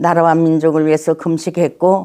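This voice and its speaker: Over a silent background in a very clean recording, a woman speaks with a dark, mellow tone. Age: 80s+. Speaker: pastor. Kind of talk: interview.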